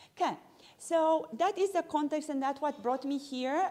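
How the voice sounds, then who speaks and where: In a non-native accent, this dark, mellow voice moves at a moderate pace with very wide pitch swings. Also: woman. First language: not English. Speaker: pharmacist and lecturer. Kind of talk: continuing-education lecture. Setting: evening talk with live audience, livestreamed.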